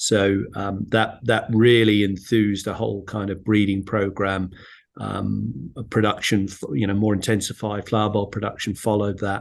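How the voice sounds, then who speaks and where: A man with a British accent speaks at a fairly low pitch and a moderate pace. His intonation is monotone and flat against a quiet background. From UK. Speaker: flower bulb exporter. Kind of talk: webinar panel talk. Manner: halting, many fillers.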